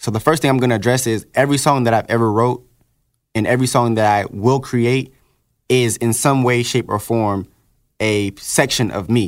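In a very clean recording with a silent background, a man with a plain, everyday voice speaks at medium pitch and moderate pace with fairly even intonation. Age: 20s. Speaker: rapper. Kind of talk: casual chat. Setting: studio.

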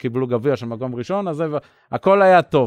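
Fairly quick speech comes from a man. The sound is dry and close, without any echo. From Israel, Bat Yam. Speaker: former Olympic sailor. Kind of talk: interview. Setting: outdoors in home yard.

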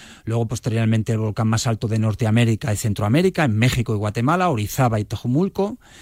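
On a very clean recording with a silent background and a dry, close sound with no echo, a man speaks at a very fast pace with hardly any pauses, very even loudness, medium pitch and ordinary pitch variation. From Spain (Barcelona, Ciudad Real, Córdoba family). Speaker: mountaineer. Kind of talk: radio interview. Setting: radio studio. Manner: hesitant, many fillers.

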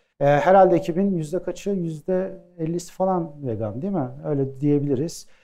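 A dark, mellow tone carries ordinary pitch variation. Speech moves at a moderate pace with hardly any pauses. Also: man, high pitch for a man. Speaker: plant-based bakery co-founder. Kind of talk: live talk with audience Q&A. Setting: stage with audience.

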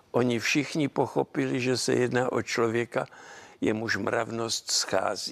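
The man speaks at a very slow pace and medium pitch, with vocal fry, fairly even intonation and very even loudness. The sound is dry and close, with no echo. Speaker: mathematician and teacher. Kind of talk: interview.

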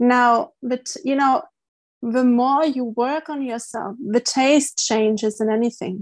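A woman with a German accent speaks at a high pitch with fairly even intonation. The recording is very clean, with a silent background. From East Germany. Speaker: life coach and marine conservationist. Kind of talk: interview.

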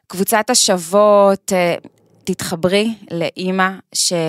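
A woman's voice comes through a very clean recording with a silent background. The sound is dry and close, with no echo. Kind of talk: podcast interview. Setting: studio.

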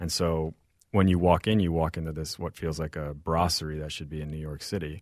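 A man with a Midwestern accent speaks in a very deep, low voice, his delivery flat and monotone while his loudness swings widely, on a very clean recording with a silent background. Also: fairly quick pace. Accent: American Midwestern. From St. Louis, Missouri (born in Mexico). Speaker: chef and restaurant owner. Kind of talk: interview conversation.

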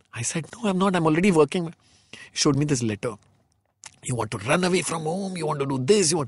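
With a Marathi accent, a man with a fairly high pitch and lively intonation talks at a very fast pace, broken by long, frequent pauses. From India, Marathi background. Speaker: film director and fashion designer. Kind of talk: interview, casual chat.

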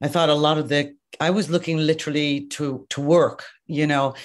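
The speaker has an Irish accent and keeps a moderate pace. The background is quiet. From Ireland. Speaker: makeup artist and educator. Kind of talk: casual interview. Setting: video call.

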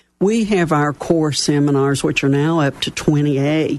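A woman with an Appalachian accent speaks in a very deep, low pitch. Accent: Southern US (Appalachian). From West Virginia. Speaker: local business mentoring chapter chair. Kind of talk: casual radio interview. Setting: studio.

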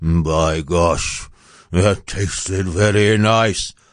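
Very slow, with a very deep, low pitch: a man's put-on character voice. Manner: muttering.

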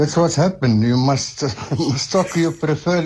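Over noticeable background noise, a man with a fairly high pitch and ordinary pitch variation speaks at a fairly quick pace. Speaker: radio caller. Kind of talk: phone-in comment. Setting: phone call. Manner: halting.

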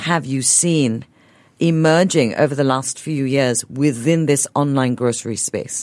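A woman speaks at a fairly slow pace with lively intonation and a very deep, low pitch, recorded very cleanly against a silent background. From Singapore. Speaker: radio host. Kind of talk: radio interview. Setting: radio studio.

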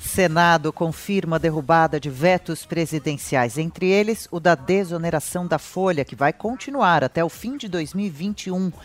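A man with a high pitch and ordinary pitch variation speaks at a fairly slow pace with hardly any pauses. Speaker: news presenter. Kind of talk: news reading. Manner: formal.

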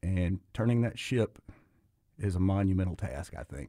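A man with a Memphis accent, very deep and low in pitch, with a dark, mellow tone, fairly slow pace, ordinary pitch variation, and a dry, close sound with no echo on a very clean recording with a silent background. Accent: Southern US (Memphis). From Memphis, Tennessee, US South. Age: 50s. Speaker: restaurant owner. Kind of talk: radio interview. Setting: studio.

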